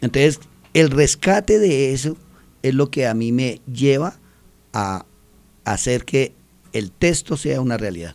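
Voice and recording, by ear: Slow, lively speech from a man at medium pitch, slightly mellow in tone, broken by long, frequent pauses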